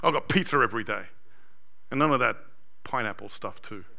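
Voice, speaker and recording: Speaking at a moderate pace with an Australian accent, a man has a bright, sharp tone amid audible room echo. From Sydney, Australia. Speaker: pastor. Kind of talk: sermon. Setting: church.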